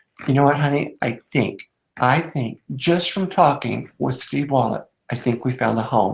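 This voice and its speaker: Vocal fry marks this man's medium-pitched voice. He speaks at a fairly slow pace with ordinary pitch variation. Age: 50s. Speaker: network marketing distributor. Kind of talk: interview. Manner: halting, many fillers.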